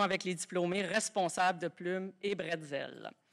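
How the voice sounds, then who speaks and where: This woman has a normal speaking voice at a medium pitch. She talks at a fairly slow pace. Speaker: university vice-rector. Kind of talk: formal speech. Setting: stage with audience. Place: hall. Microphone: podium.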